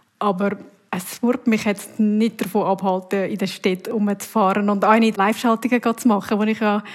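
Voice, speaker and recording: A somewhat breathy woman's voice, fairly high in pitch, at a moderate pace. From Uri, central Switzerland. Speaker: TV news presenter and reporter. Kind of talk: casual interview answers.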